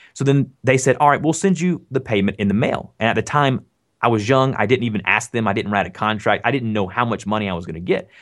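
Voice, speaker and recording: A man with a Southern US accent talks at a very fast pace and medium pitch with lively intonation, in a very clean recording with a silent background. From US South. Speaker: online content creator and voice actor. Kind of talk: casual interview chat.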